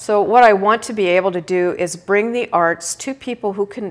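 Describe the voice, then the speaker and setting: A woman talks at a medium pitch with ordinary pitch variation. She has an ordinary speaking voice. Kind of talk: casual interview. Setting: live video stream.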